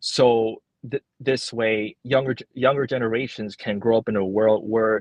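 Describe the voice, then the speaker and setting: At a fairly slow pace, a man with a Cantonese accent speaks at medium pitch with fairly even intonation. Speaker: librarian. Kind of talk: interview. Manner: halting, many repetitions and fillers.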